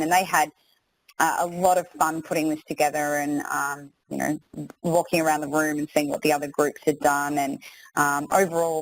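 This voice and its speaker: An Australian woman speaks at a moderate pace with a very deep, low voice. Her intonation stays monotone and flat. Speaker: maths teacher presenting a webinar. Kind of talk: webinar tutorial. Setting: online webinar.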